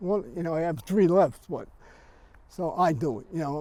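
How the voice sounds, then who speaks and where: In a New York accent, a man talks at a moderate pace with a high pitch and a dark, mellow tone. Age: 80s+. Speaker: cemetery visitor interviewed. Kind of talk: casual interview.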